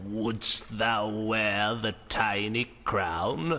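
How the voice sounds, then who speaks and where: A man puts on a character voice, pitched fairly low, with fairly even intonation over clear background noise. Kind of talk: archaic, formal. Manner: eerie, archaic.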